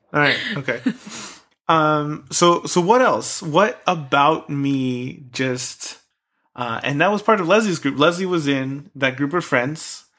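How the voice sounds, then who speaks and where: A man speaks at a very slow pace. His voice is fairly high, with a bright, sharp tone. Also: ordinary pitch variation. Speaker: podcast co-host. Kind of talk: casual chat. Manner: loud.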